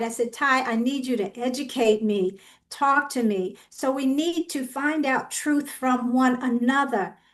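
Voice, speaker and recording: Against a quiet background, a woman talks at a moderate pace. Her pitch is high, with ordinary pitch variation. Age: old. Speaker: community panelist. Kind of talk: panel discussion.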